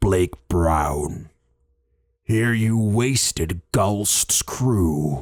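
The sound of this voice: Putting on a gravelly, menacing character voice, a man speaks at a fairly low pitch, very slowly, with lively intonation.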